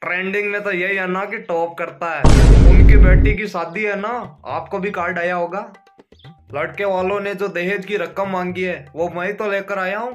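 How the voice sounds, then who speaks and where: A man with a high voice speaks fairly slowly in a flat monotone, with clear music playing in the background. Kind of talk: comedic skit monologue. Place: home room. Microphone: phone near.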